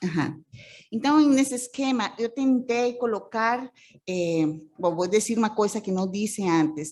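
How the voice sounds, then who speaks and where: In a Costa Rican accent, a woman speaks with fairly high pitch and lively intonation. Her pauses are long and frequent. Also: very clean recording, silent background. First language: Spanish (speaking Portuguese). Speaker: social work professor. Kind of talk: conference presentation. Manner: halting, many fillers.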